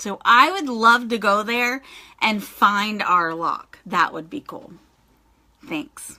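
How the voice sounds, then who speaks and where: A woman speaks very slowly in a fairly high, bright and sharp voice. Her intonation is lively, and her loudness swings widely. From Dover area. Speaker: clothing reseller. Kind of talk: live video Q&A. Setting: livestream. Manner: casual chatty.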